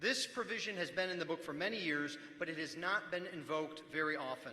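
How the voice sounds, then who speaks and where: A man is speaking at a fairly quick pace. His voice is high-pitched. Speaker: pastor speaking at church assembly. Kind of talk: formal debate speech. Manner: formal; raised, speaking up.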